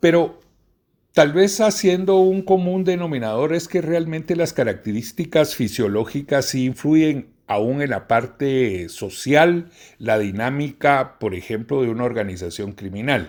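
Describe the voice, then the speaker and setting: Fairly slow and with very wide pitch swings, a man with a fairly high pitch speaks on a very clean recording with a silent background. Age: 60s. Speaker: professor. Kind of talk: lecture. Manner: formal.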